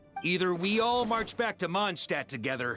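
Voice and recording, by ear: In a put-on character voice, a man speaks at a moderate pace with a high pitch, a bright, sharp tone and big pitch swings while faint music plays in the background.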